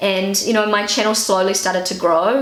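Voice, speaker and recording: In a New Zealand accent, a woman speaks with a relaxed tone, medium pitch and monotone, flat intonation over noticeable background noise. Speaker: YouTuber and stay-at-home mother. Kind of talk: casual talk to camera. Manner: relaxed, chatty.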